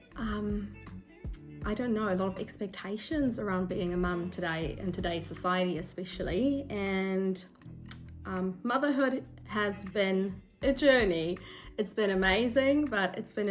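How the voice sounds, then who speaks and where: Music plays in the background as a woman speaks fairly slowly at a medium pitch. There is audible room echo, and her pitch variation is ordinary. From South Africa. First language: Afrikaans. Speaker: book vlogger. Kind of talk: casual vlog talk to camera. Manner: hesitant, with ums and self-corrections.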